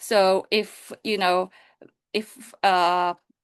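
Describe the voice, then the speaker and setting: In a Japanese accent, a woman at medium pitch talks with ordinary pitch variation, the sound dry and close with no echo against a quiet background. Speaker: science communication and public relations director. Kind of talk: panel discussion. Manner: halting, many fillers.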